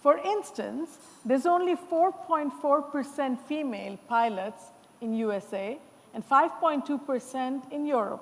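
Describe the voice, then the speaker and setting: Loud and fairly slow, the voice moves with lively intonation. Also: woman, high pitch for a woman. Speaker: panel moderator. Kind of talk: panel discussion moderation. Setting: conference stage with audience.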